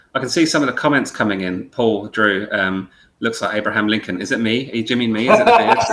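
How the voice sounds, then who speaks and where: Here a man talks with a British accent at a very fast pace. His pitch variation is ordinary. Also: medium pitch for a man. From UK. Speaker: podcast host. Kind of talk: casual chat. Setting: live video call.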